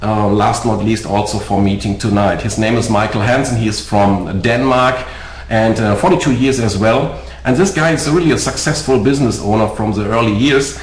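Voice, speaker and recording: A man speaks at a moderate pace in a medium pitch, with ordinary pitch variation and very even loudness. Noticeable background noise and audible room echo are present. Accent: German. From Germany. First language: German. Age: 40s. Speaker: network marketing presenter. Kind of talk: sales pitch. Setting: webinar. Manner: halting.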